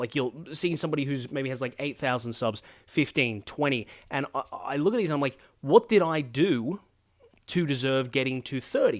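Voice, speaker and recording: A man with an Australian accent and a fairly high pitch, at a moderate pace with ordinary pitch variation. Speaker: political commentary YouTuber. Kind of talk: casual vlog monologue. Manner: hesitant, filler-heavy.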